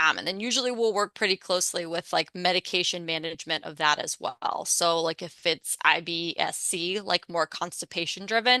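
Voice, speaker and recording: A woman with an American accent speaks at a fairly low pitch in a bright, sharp tone. The sound is dry and close with no echo, over a quiet background. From Pittsburgh, Pennsylvania. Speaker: registered dietitian. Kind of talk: presentation with Q&A. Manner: fast.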